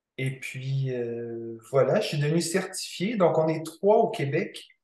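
A man speaks at a fairly high pitch and a fairly slow pace. The room gives off audible echo. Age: 20s. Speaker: kinesiologist. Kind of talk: interview.

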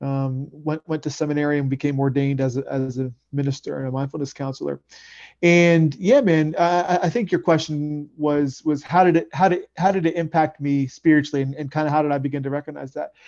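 In a normal speaking voice, a man talks at a fairly quick pace with fairly even intonation over a quiet background. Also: fairly high pitch for a man. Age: 30s. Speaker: men's coach and ordained Buddhist minister. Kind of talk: interview.

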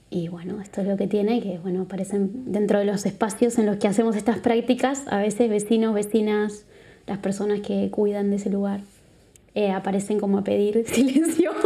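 A woman with a Uruguayan accent talks at a fairly quick pace in a medium pitch. Her tone is dark and mellow, somewhat breathy, with fairly even intonation. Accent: Uruguayan Spanish, noticeable. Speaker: psychologist and body therapist. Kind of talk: casual interview. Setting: live recording in a venue.

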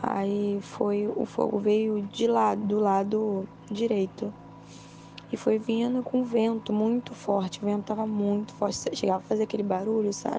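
In a tearful tone, a woman speaks fairly slowly with flat, monotone intonation. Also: medium pitch for a woman. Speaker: witness of the fire. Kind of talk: tearful testimony. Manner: distressed, breathless, tearful, recounting in panic.

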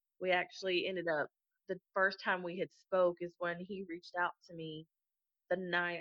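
A woman is speaking. Her tone is bright and sharp. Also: dry, close sound with no echo. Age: 20s. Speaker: single mother raffle winner. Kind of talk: personal testimony in interview.

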